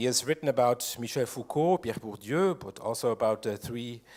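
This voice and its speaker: A man's medium-pitched voice with ordinary pitch variation, on a very clean recording with a silent background. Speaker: symposium moderator. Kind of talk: speaker introduction. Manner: seated, speaking sitting down.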